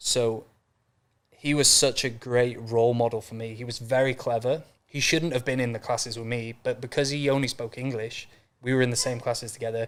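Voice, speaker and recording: Speaking in a North Welsh accent, a man at medium pitch keeps a monotone, flat intonation at a fairly quick pace. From North Wales. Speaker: mindset and business coach. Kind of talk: podcast interview. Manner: casual, fast with fillers.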